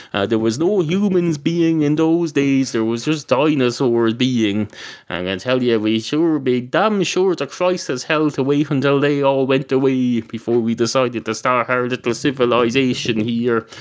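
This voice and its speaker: The speaker has an Irish accent and talks at a moderate pace with hardly any pauses. Pitch variation is ordinary. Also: man, medium pitch for a man. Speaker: podcaster. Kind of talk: comedic monologue. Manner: rambling with frequent fillers.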